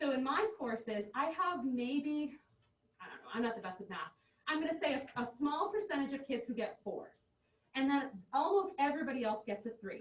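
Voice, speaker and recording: Loud and high-pitched, a woman speaks at a moderate pace with very wide pitch swings. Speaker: music teacher. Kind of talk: presentation to school board.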